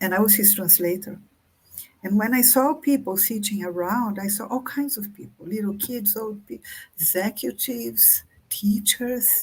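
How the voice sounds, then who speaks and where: This woman has a Brazilian Portuguese accent and a medium pitch. Her delivery is somewhat breathy, with lively intonation at a moderate pace. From Brazil, countryside. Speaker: author. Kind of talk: interview conversation. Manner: halting.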